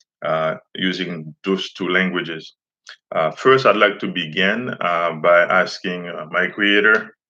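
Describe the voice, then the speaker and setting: With a Haitian accent, a man talks at a fairly slow pace in a very deep, low pitch and fairly even intonation. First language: Haitian Creole. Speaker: teacher and community activist. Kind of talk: live stream monologue. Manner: halting, many fillers.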